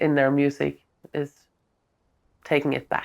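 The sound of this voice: A woman's low-pitched, clear, smooth voice with vocal fry.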